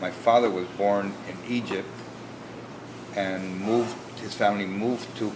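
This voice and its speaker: A man speaks at a fairly low pitch with monotone, flat intonation. Noticeable background noise and audible room echo are present. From Philippines, Manila. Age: 60s. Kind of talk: interview. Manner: halting, with many fillers and restarts.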